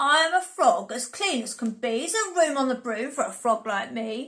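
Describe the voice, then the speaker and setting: Putting on a croaky character voice, a woman speaks at a moderate pace with a high pitch. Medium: read story.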